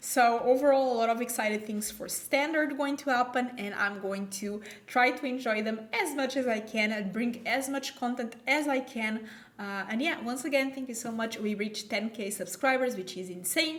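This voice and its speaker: A woman with a non-native accent speaks at a moderate pace and fairly high pitch, with ordinary pitch variation. Audible room echo and noticeable background noise surround her voice. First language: not English. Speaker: gaming YouTuber. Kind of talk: gameplay commentary. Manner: casual, thinking aloud.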